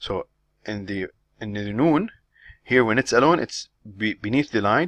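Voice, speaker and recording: A man talks at a moderate pace with medium pitch and ordinary pitch variation. The sound is dry and close with no echo, over a quiet background. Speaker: Arabic language teacher. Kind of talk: lecture. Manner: halting, many repetitions.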